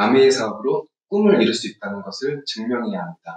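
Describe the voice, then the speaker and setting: A man speaks at a moderate pace. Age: 30s. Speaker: multi-level marketing distributor. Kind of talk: prepared testimony.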